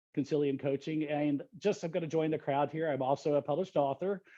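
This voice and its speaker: Here a man talks with a Texan accent at a very fast pace. His pitch is fairly high, with ordinary variation. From Texas, Dallas. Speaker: leadership coach. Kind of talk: panel discussion.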